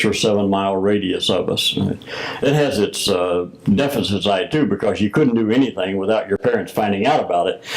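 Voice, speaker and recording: A man with an American accent talks at a moderate pace, his pitch fairly low with ordinary variation. Noticeable background noise is present. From US South, Missouri Bootheel. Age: 70s. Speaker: retired Freemason grand master. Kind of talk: interview. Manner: hesitant with many fillers.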